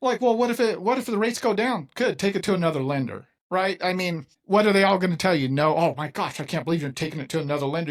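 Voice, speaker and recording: This man talks at a very fast pace with lively intonation and a high pitch. The recording is very clean, with a silent background. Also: hardly any pauses. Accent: American. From California. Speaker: mortgage loan officer and podcast host. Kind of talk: interview conversation.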